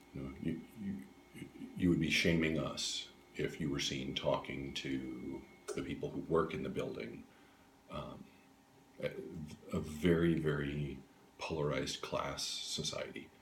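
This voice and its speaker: A man with a very deep, low voice speaks at a fairly slow pace with vocal fry, fairly even intonation, and long, frequent pauses. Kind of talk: interview answer. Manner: hesitant, casual.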